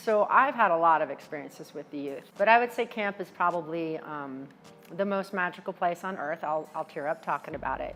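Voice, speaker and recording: Over music in the background, a woman talks fairly quickly at a fairly low pitch, with lively intonation and big swings in loudness. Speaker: charity auctioneer. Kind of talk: interview testimony. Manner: fast.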